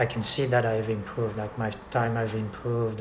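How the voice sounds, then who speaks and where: There is audible room echo and noticeable background noise as a man talks at a moderate pace. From France. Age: 50s. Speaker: amateur cyclist. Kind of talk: casual interview. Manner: halting.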